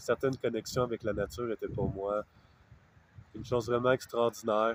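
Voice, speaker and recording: A man with a Quebec accent speaks at a moderate pace and a medium pitch, his flat, monotone delivery broken by long, frequent pauses in a dry, close recording with no echo. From Quebec, Canada. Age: 30s. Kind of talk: interview answer. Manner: hesitant, reflective, many fillers.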